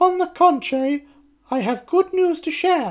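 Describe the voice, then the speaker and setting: A woman puts on a squeaky character voice. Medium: read story. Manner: honeyed, false politeness.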